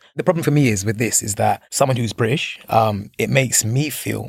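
A man's medium-pitched voice carries vocal fry. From UK. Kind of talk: casual panel discussion.

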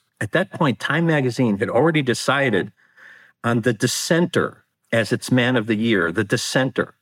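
With an American accent and an ordinary speaking voice, a man of medium pitch talks at a moderate pace with lively intonation and very even loudness, on a very clean recording with a silent background. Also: dry, close sound with no echo. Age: 60s. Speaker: author. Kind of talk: interview.

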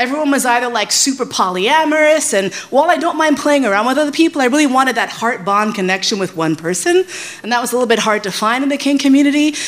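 With noticeable background noise, a woman in a New York accent speaks at a very fast pace with a high pitch and lively intonation. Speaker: sex educator. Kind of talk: live storytelling.

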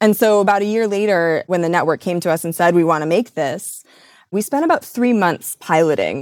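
In a plain, everyday voice, the speaker moves at a fairly quick pace with ordinary pitch variation, recorded dry and close without echo. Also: woman, medium pitch for a woman. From US Midwest. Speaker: radio and podcast producer. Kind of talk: interview.

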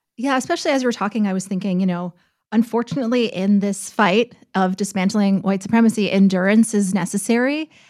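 On a very clean recording with a silent background, a woman talks at a very fast pace. Her pitch is medium, with ordinary variation. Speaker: news host. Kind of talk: casual podcast chat.

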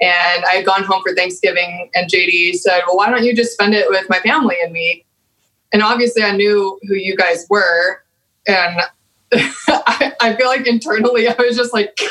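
Speaking with an American accent, a woman keeps a medium pitch, ordinary pitch variation, moderate pace and very even loudness. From Texas. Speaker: guest. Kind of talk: casual chat.

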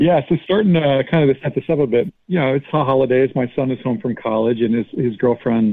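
A man with an ordinary speaking voice at a medium pitch, fairly quick in pace and lively in intonation. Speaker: guest. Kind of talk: storytelling.

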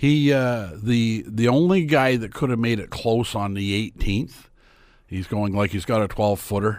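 An unremarkable speaking voice in a Canadian accent, fairly slow with ordinary pitch variation, in a very clean recording with a silent background. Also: man, medium pitch for a man. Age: 60s. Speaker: sports commentator. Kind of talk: casual chat.

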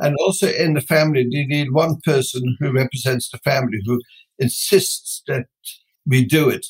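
This male voice is somewhat breathy. Its pitch sits fairly high. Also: ordinary pitch variation, moderate pace, dry, close sound with no echo. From Netherlands. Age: 70s. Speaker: business founder. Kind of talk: interview.

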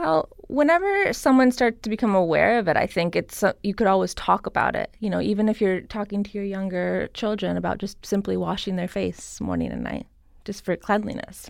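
With an American accent, a woman talks at a fairly quick pace with hardly any pauses. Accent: slight Persian accent at moments. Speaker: cosmetic skincare artist and Reiki healer. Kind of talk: casual interview.

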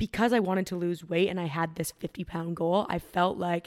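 A woman with a Canadian accent talks fairly quickly in a plain, everyday voice, fairly low and fairly even, with dry, close sound and no echo. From Canada, Ontario. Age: 20s. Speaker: fitness influencer. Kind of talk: casual chat.

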